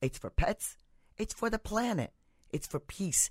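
A woman at a fairly slow pace with lively intonation, in a very clean recording with a silent background and a dry, close sound with no echo. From India. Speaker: doctor. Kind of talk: interview. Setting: studio.

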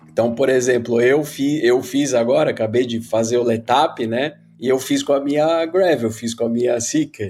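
In a normal speaking voice, a man talks at a moderate pace with medium pitch, fairly even intonation and hardly any pauses. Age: 50s. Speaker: bicycle company owner. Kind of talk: casual interview.

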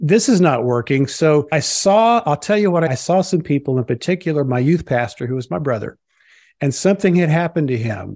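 Against a quiet background, a man with a fairly high pitch talks at a moderate pace with lively intonation in a plain, everyday voice. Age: 50s. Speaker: family doctor and minister. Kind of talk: interview.

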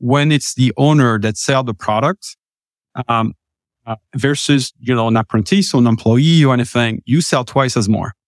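Medium in pitch, with ordinary pitch variation and a French accent, a man speaks at a fairly quick pace, recorded dry and close with no echo on a very clean track with a silent background. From France. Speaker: startup co-founder. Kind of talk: interview.

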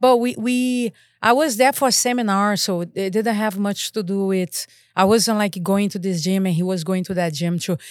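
A woman's voice with ordinary pitch variation, very cleanly recorded against a silent background. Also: medium pitch for a woman, moderate pace. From Brazil, Rio de Janeiro. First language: Portuguese. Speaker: martial arts instructor and school owner. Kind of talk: casual interview chat.

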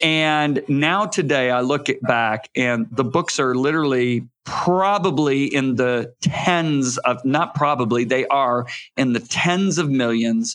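Against a quiet background, a man with a Midwestern American accent and a fairly high pitch talks at a very slow pace with hardly any pauses, ordinary pitch variation and very even loudness. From Michigan. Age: 60s. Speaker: author and evangelist. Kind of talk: interview.

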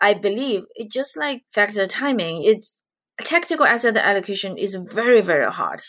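Lively intonation and a bright, sharp tone in a Chinese accent, fairly slow, on a very clean recording with a silent background. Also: woman. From China. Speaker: investment director, economist. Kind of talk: interview, conversational.

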